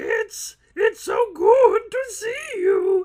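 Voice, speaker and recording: A squeaky, extremely high-pitched put-on character voice. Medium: read story. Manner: hesitant, stammering.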